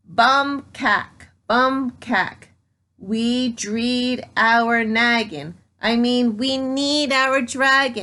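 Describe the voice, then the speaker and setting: A woman uses a put-on character voice at a high pitch. She goes at a very slow pace over a quiet background. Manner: excited, screaming.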